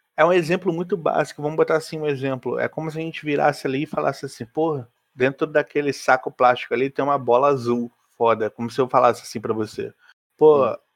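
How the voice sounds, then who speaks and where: Talking at a very fast pace, a man with a fairly high voice and ordinary pitch variation comes across in a dry, close sound with no echo. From Rio de Janeiro, Brazil. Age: 20s. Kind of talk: casual chat.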